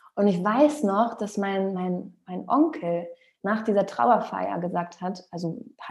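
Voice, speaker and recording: A woman's medium-pitched voice with lively intonation and vocal fry. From Rostock, northern Germany. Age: 30s. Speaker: singer and former talent show finalist. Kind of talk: interview. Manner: hesitant with fillers.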